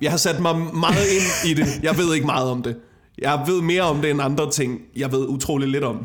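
A man's fairly high-pitched voice at a moderate pace, with ordinary pitch variation, very even loudness, noticeable background noise and audible room echo. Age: 20s. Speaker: comedian. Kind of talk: casual chat. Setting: home kitchen.

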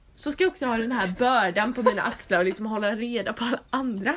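A woman talks very fast at a fairly high pitch. Her intonation is lively. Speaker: podcast host. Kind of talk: casual chat.

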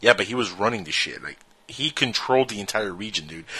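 Speaking at a very fast pace, a man uses a bright, sharp tone with fairly even intonation. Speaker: radio co-host. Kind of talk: casual chat. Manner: joking.

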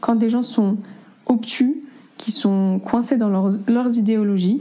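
Somewhat breathy, a woman speaks at a fairly high pitch with a dark, mellow tone and ordinary pitch variation. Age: 20s. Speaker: interviewee sharing experiences. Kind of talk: testimony.

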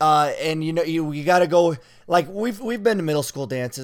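A man with a normal speaking voice talks at a fairly quick pace in a fairly high pitch, on a very clean recording with a silent background. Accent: American. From various US states. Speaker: college basketball player and podcast co-host. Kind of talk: casual chat.

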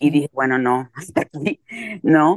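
A woman's very deep, low voice with ordinary pitch variation, dry and close with no echo. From Puerto Rico, Carolina. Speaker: writer. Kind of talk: interview conversation. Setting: remote call. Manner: energetic.

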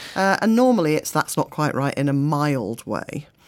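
A woman with an unremarkable speaking voice, a moderate pace and lively intonation. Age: 40s. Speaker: crime writer and poet. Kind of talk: casual interview.

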